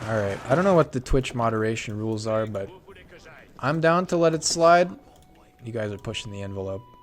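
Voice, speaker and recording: Loud and lively in intonation, a man speaks at a fairly quick pace with medium pitch and long, frequent pauses, over noticeable background noise. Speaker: esports caster. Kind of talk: live commentary. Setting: live stream. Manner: animated.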